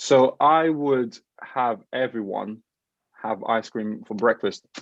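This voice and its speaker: A man at medium pitch speaks at a very slow pace with ordinary pitch variation. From Portugal. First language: Portuguese. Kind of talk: casual interview. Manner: animated.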